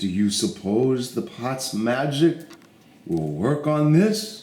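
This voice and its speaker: Putting on a character voice, a man speaks at a very slow pace with a medium pitch. His pitch swings very wide, with a slight echo. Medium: read story.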